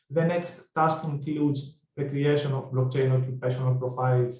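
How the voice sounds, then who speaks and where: A somewhat breathy, dark, mellow tone with a Greek accent and fairly even intonation. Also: man. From Greece. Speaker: project researcher presenter. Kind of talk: conference presentation. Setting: online webinar.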